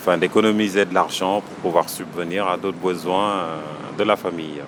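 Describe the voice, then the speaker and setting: Over noticeable background noise, a man talks at a moderate pace in a very deep, low voice with monotone, flat intonation. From Senegal. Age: 30s. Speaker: small business owner. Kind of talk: interview. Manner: hesitant, many fillers.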